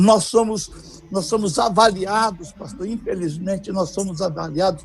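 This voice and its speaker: A man with a high pitch and a dark, mellow tone speaks at a moderate pace with ordinary pitch variation. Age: 70s. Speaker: pastor, missionary. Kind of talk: preaching-style interview on a livestream.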